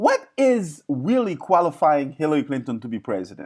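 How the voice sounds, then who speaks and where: A man's fairly high voice with a slight non-native accent, animated in tone and lively in intonation, at a fairly quick pace in a very clean recording with a silent background. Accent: slight foreign accent, improved. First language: not English (English is fourth language). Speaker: online talk show host. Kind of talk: live stream monologue. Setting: live stream. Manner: animated, repetitive fillers.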